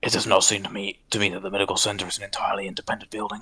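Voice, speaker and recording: A put-on character voice, low and raspy, rattles along at a very fast pace. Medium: stage play. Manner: formal, measured.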